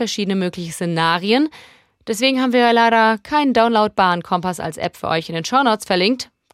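Speaking fairly quickly in an ordinary speaking voice, a woman has a medium pitch and lively intonation. The recording is very clean with a silent background, and the sound is dry and close with no echo. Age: 30s. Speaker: podcast host. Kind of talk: scripted narration; interview.

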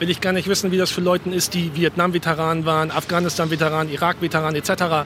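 Against noticeable background noise, a man speaks very fast in a high pitch with a monotone, flat intonation. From Germany. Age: 40s. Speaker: Harley rider. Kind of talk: interview. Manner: casual, colloquial.

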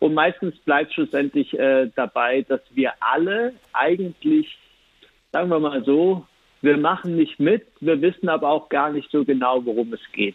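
This is a man with a normal speaking voice and a fairly high pitch. His intonation is lively and his pace fairly slow. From Switzerland. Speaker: cabaret artist and poetry slammer. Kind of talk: interview.

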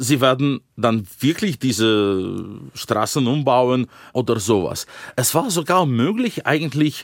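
In a Russian accent, a man speaks at a very slow pace, with a dry, close sound with no echo on a very clean recording with a silent background. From Russia, Yekaterinburg. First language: Russian (speaking German). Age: 40s. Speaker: Russian opposition politician and author. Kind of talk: interview.

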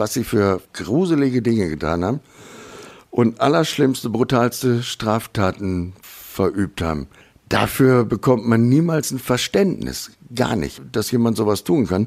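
A normal speaking voice from a man of medium pitch, fairly slow in pace with lively intonation. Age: 50s. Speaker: professional driver, violent crime victim. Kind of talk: interview testimony.

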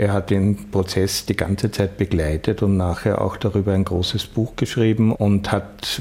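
A man speaks at a moderate pace in a fairly low voice with fairly even intonation. Noticeable background noise is present. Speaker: filmmaker and journalist. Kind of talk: interview.

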